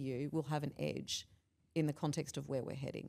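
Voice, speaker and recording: A woman's dark, mellow voice in an Australian accent, with ordinary pitch variation and a very clean recording against a silent background. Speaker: behavioural scientist and leadership expert. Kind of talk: casual interview chat.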